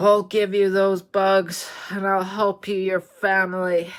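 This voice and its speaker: A female-sounding, put-on character voice sits at a medium pitch. It moves at a fairly slow pace with monotone, flat intonation. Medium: read story.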